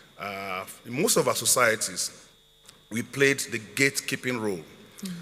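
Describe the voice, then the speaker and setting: A man at a medium pitch and moderate pace, noticeable background noise behind him. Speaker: customs chief. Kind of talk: panel discussion.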